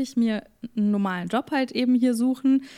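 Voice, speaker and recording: A woman at a fairly quick pace, fairly high in pitch with ordinary pitch variation, in a normal speaking voice. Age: 20s. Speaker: influencer and podcaster. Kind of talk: casual chat.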